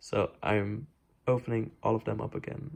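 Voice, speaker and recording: A man's medium-pitched voice with ordinary pitch variation at a moderate pace, over a quiet background. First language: not English. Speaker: DIY sewing vlogger. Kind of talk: tutorial vlog. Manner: casual, hesitant with many fillers.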